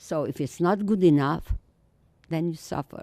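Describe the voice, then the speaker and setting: Lively intonation and a fairly slow pace in a Romanian accent, with a dry, close sound and no echo. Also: woman. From Romania, Transylvania. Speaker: Holocaust survivor speaker. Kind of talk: testimony. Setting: school audience.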